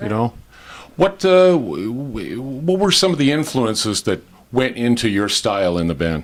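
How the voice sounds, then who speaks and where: A man's pitch swings very widely as he talks at a fairly slow pace. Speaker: voice actor. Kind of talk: TV host interview.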